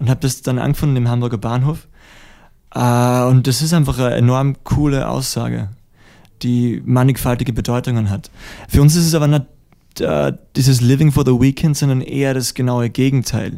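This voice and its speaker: A man speaks at a medium pitch in a dark, mellow tone, with fairly even intonation. His pace is moderate, broken by long, frequent pauses. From Austria, Styria. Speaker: musician. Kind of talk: interview. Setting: studio.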